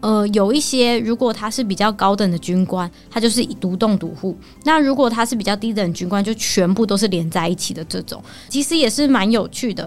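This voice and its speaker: Noticeable background noise sits under the voice. A woman speaks with fairly high pitch and ordinary pitch variation. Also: fairly quick pace. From Taiwan, Taoyuan. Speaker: local resident sharing travel tips. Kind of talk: casual chat.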